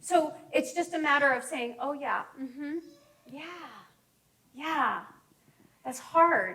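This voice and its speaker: A woman uses a raised, projected voice with a high pitch and a bright, sharp tone. She goes very slowly with long, frequent pauses, big swings in loudness and fairly even intonation. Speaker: counselor giving a talk. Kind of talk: presentation to a group.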